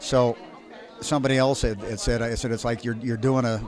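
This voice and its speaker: Crowd noise fills the background while a man talks in an audible room echo. His medium-pitched delivery is monotone and flat at a fairly quick pace. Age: 60s. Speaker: ragtime pianist. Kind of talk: interview. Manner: halting, many repetitions.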